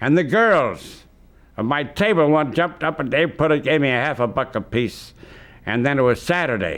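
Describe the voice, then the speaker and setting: A man with an American accent, vocal fry, very wide pitch swings and a moderate pace. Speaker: oral historian and radio host. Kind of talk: interview answer.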